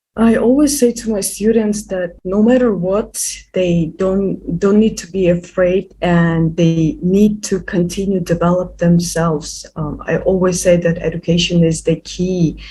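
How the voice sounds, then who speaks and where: Talking at a fairly slow pace with hardly any pauses, a woman with a non-native accent speaks in a medium pitch with ordinary pitch variation. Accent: non-native English, noticeable. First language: not English. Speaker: youth activist. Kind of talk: interview. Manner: halting, many repetitions and fillers.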